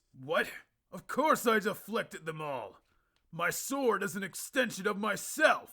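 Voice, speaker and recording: Putting on a character voice, a man speaks at a moderate pace, high in pitch with very wide swings. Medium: solo performance. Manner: brash, casual.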